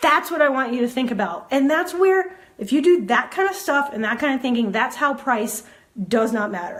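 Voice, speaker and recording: A woman with a high-pitched voice talks in an animated tone with lively intonation over a quiet background. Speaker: photography business coach. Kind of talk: casual livestream talk. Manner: fast. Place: home room. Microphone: earbuds.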